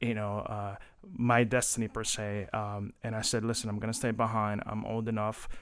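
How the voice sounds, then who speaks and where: A man speaks at a moderate pace with a Spanish accent, his fairly low pitch held in a monotone, flat intonation. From Colombia, then New Jersey from age 13. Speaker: city government employee and community advocate. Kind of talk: podcast interview.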